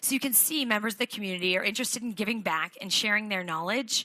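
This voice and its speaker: A woman's medium-pitched voice, bright and sharp in tone, with ordinary pitch variation and a dry, close sound free of echo. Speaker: keynote speaker. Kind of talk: keynote speech. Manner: fast.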